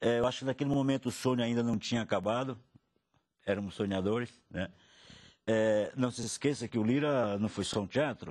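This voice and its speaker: A man at medium pitch talks at a fairly quick pace with fairly even intonation and long, frequent pauses. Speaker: cultural producer. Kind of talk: interview. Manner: halting.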